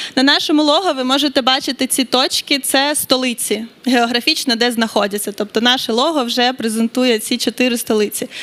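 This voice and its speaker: With a Ukrainian accent, the speaker goes at a fairly quick pace with ordinary pitch variation. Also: woman. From Ukraine. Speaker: grant foundation representative. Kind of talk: conference presentation.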